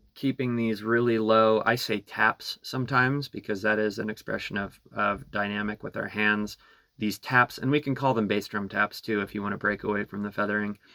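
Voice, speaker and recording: Over a very clean, silent background, a man with a fairly low pitch and a bright, sharp tone speaks at a fairly quick pace in a monotone, flat intonation with hardly any pauses. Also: dry, close sound with no echo. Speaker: drum teacher. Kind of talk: tutorial.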